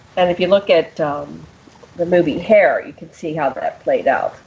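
A woman speaks with an American accent against noticeable background noise. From US Northeast (Pennsylvania). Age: 60s. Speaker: radio show host. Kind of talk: casual interview chat.

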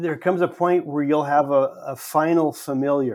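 On a very clean recording with a silent background, a man with an American accent speaks in an unremarkable speaking voice at a fairly high pitch and fairly slow pace, with fairly even intonation. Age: 60s. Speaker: pastor. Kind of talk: casual chat.

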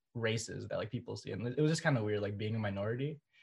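Against a quiet background, a man with an American accent speaks in a somewhat breathy voice with lively intonation. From Twin Cities, Minnesota, US. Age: 20s. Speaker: undergraduate student. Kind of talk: casual chat.

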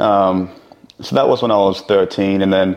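A man with a plain, everyday voice, fairly low in pitch, at a fairly slow pace. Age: 20s. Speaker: entrepreneur. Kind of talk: casual interview chat.

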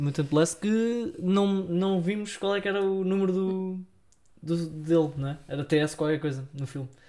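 A man with a high pitch speaks in a dark, mellow tone. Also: ordinary pitch variation. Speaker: film podcast co-host. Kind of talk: casual chat.

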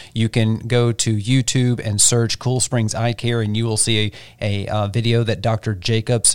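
On a very clean recording with a silent background and a dry, close sound with no echo, a man speaks in an ordinary speaking voice at medium pitch, moderate pace and fairly even intonation. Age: 40s. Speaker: podcast co-host. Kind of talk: casual chat. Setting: studio.

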